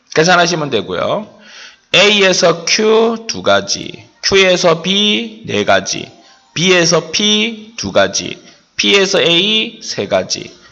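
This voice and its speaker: A man's speech comes very slowly, with audible room echo around it. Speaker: math teacher. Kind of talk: lecture.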